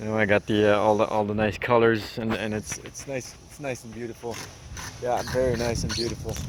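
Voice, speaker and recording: Against noticeable background noise, a man with a medium pitch and fairly even intonation talks at a fairly quick pace, his loudness swinging widely. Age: 30s. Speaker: vlogger, tradesman. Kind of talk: casual vlog. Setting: outdoors at job site.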